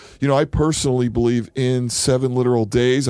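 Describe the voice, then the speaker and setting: A dark, mellow tone at a moderate pace. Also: man. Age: 60s. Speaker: pastor. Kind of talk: interview.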